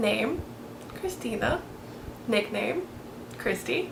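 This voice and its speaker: A woman speaks with an American accent. Noticeable background noise and audible room echo are present. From Florida. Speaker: beauty vlogger. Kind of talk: casual chat.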